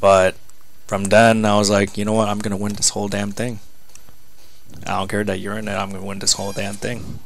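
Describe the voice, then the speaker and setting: A man at a fairly low pitch, confident in tone and fairly quick in pace. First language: Spanish. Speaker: wrestler. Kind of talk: casual chat. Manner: less confident in English.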